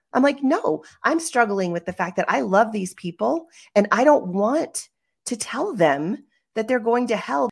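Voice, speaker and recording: A woman's fairly high voice with vocal fry, very wide pitch swings and a fairly slow pace, on a very clean recording with a silent background. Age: middle-aged. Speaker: podcast co-host, life coach. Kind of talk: casual chat.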